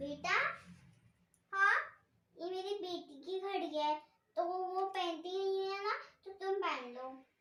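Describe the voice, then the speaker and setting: Doing a squeaky put-on character voice, a woman speaks at an extremely high pitch and a moderate pace, with ordinary pitch variation and long, frequent pauses. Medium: comedy sketch. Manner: brisk, casually polite.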